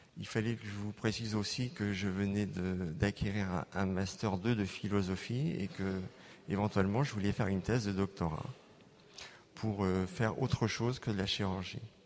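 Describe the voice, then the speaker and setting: A man talks with a fairly low pitch. His intonation stays fairly even. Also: moderate pace. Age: 60s. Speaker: plastic surgeon giving healing testimony. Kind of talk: testimony. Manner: halting, many hesitations.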